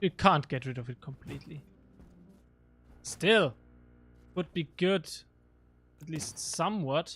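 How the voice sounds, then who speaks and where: Delivered at a fairly slow pace with a German accent, the speech has long, frequent pauses. The recording is very clean, with a silent background. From Germany, Regensburg area. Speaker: gaming streamer. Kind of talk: live gameplay stream. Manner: casual, halting with fillers.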